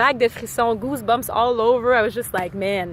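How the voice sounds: A woman with a Quebec accent, fairly high pitch, moderate pace and ordinary pitch variation. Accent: Québécois.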